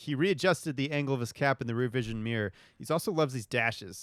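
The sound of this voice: Pitch moves in an ordinary way. The reading voice is unforced.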